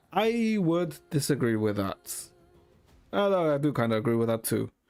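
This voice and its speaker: Music plays in the background as a man speaks at a moderate pace, his fairly high pitch swinging very widely while his loudness stays very even. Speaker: gaming streamer. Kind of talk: live stream commentary reading game text. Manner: casual, halting.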